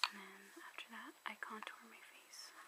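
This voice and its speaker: Noticeable background noise runs throughout. A woman whispers, fairly slowly. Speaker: ASMR creator. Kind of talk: ASMR makeup show and tell. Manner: soft-spoken, whispering.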